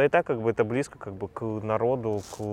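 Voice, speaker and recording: Here is a man with a fairly low pitch. He has a normal speaking voice with fairly even intonation. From Russia, Saint Petersburg. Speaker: entrepreneur and crypto investor. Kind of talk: interview.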